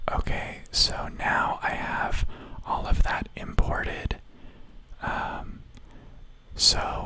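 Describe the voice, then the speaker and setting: A man whispers in a soothing tone over noticeable background noise. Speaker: video editor. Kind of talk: ASMR whisper ramble while editing video. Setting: close-mic home recording. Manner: whispered, soothing.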